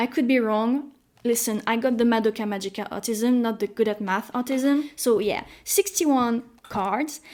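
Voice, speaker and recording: A woman speaks with a French accent at a fairly high pitch, a moderate pace and ordinary pitch variation. The recording is very clean, with a silent background. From France. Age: 20s. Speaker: YouTuber. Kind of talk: casual vlog talk. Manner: animated.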